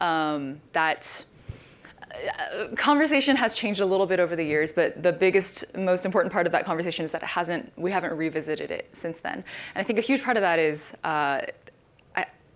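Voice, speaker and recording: Over noticeable background noise, a woman talks at a fairly quick pace, her pitch fairly low and her intonation lively. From Chinese family background. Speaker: panelist. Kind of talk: panel discussion. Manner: halting.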